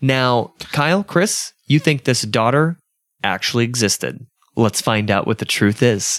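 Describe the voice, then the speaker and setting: A man with an unremarkable speaking voice talks at a fairly slow pace and medium pitch, with ordinary pitch variation and very even loudness. The sound is dry and close, with no echo. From US South, Georgia. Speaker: podcast host. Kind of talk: casual chat.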